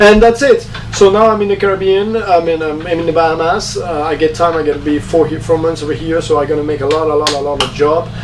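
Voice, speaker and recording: Talking very fast with hardly any pauses, a man with a fairly high voice and ordinary pitch variation comes through audible room echo and noticeable background noise. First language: French. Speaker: sailing vlogger and former professional skipper. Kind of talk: casual vlog talk. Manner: halting, many fillers.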